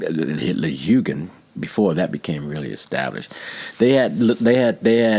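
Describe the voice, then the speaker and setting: Noticeable background noise behind a man's fairly slow American-accented speech. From Texas. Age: 60s. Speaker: painter. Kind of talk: interview.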